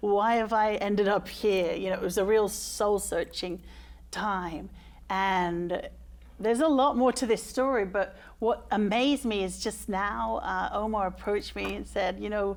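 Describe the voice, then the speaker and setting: In a very clean recording with a silent background, a woman with an English accent speaks at a fairly slow pace. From England, London. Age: 40s. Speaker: case manager for homeless people. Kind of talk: talk show interview. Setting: studio with audience.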